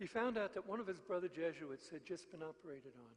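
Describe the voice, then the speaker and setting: A man with a New York accent, fairly quick in pace. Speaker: mission preacher. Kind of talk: sermon.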